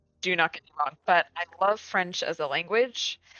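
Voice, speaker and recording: At a moderate pace, this woman talks in a fairly low pitch. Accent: Midwestern US. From US Midwest. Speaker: gaming streamer. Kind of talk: casual chat. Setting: live stream. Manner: casual, filler-heavy.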